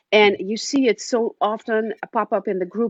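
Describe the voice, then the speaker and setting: A woman's fairly high voice with ordinary pitch variation and a slight Dutch accent. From Netherlands. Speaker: romance author. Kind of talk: casual interview chat.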